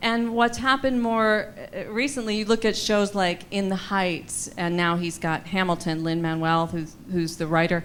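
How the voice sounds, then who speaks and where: Using an ordinary speaking voice, a woman with an American accent talks at a moderate pace and medium pitch, with ordinary pitch variation and hardly any pauses. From US Midwest. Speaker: Broadway singer and actress. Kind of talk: audience Q&A. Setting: gala event with audience.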